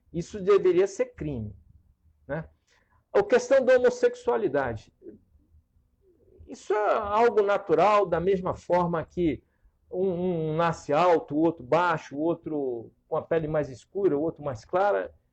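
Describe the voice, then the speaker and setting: Speaking at a fairly slow pace with long, frequent pauses, a man uses a high pitch and lively intonation. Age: 60s. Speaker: political candidate. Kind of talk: talk show interview.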